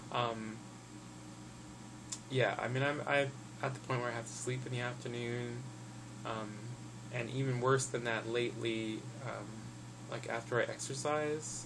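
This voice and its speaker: A man speaks with long, frequent pauses. The room echo is audible, and there is noticeable background noise. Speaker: health vlogger. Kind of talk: casual vlog update. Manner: fast.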